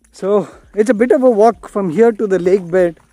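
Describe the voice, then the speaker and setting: Faint background music behind a man's high voice, fairly slow pace, ordinary pitch variation, dry sound with no echo. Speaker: travel vlogger. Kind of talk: casual vlog chat. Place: open country. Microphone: phone near.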